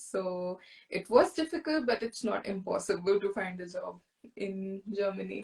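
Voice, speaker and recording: With lively intonation and a somewhat breathy sound, a woman speaks at a medium pitch and a moderate pace. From India. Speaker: guest. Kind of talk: interview.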